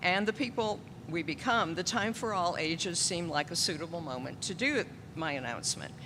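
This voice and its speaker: Her tone bright and sharp, a woman speaks in a fairly low pitch with lively intonation at a moderate pace, and audible room echo surrounds her. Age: 70s. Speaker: church pianist. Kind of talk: children's story time and announcement in church service. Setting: church.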